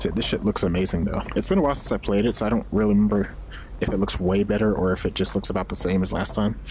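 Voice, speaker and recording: A man at a very fast pace with very even loudness, over noticeable background noise. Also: fairly low pitch for a man. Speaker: gaming video creator. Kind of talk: gameplay commentary. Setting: at home on camera. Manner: casual, profane.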